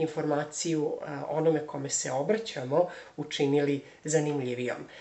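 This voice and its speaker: A man with a fairly high pitch and ordinary pitch variation, at a moderate pace amid noticeable background noise. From Serbia, Belgrade. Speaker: language teacher and theologian. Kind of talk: self-introduction video. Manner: hesitant, many fillers.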